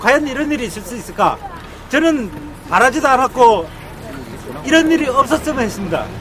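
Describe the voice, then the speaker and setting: With crowd noise behind him, a man talks at an extremely high pitch and fairly quick pace, his intonation lively. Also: big swings in loudness. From Korea, Andong, North Gyeongsang. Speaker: citizen speaker at a rally. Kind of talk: public speech at a rally. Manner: halting.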